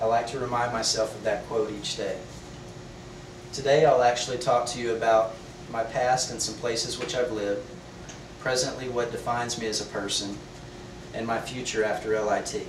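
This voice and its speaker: A man with an American accent talks fairly quickly in a monotone, flat way, with long, frequent pauses, audible room echo and noticeable background noise. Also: medium pitch for a man. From Texas, Beaumont. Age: 30s. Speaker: student. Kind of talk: class speech. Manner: formal.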